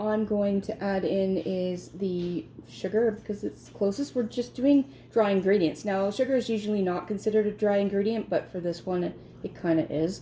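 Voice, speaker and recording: Somewhat breathy and dark, mellow in tone, the voice keeps a moderate pace and ordinary pitch variation. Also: woman. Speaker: home baking video host. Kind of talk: cooking tutorial. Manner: pauses often while speaking; casual, chatty.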